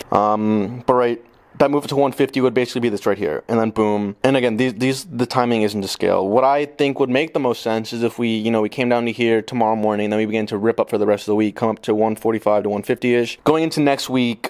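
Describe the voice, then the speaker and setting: A man talks at a very fast pace with hardly any pauses. His pitch is medium and his intonation fairly even. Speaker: stock market video creator. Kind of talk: technical analysis tutorial. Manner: casual, profane.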